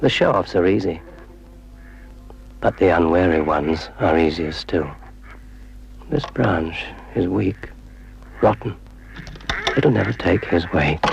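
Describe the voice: Slow and full of long, frequent pauses, a man's put-on character voice sits low in pitch with vocal fry over faint background noise. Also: lively intonation.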